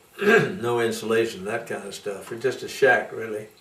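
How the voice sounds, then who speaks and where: Noticeable background noise sits behind this recording. A man speaks fairly slowly in an American accent. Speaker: Methodist preacher; storyteller. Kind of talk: interview answer.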